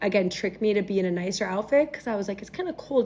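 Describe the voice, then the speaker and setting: With an American accent, a woman speaks at medium pitch with ordinary pitch variation. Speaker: bride-to-be. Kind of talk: casual interview storytelling. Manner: loud; talkative.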